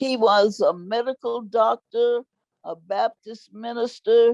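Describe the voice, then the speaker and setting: With a Texan accent, the speech comes at a fairly slow pace in a dry, close sound with no echo. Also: woman. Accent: Texan Southern US. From Marshall, Texas. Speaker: activist, elder. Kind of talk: interview answer.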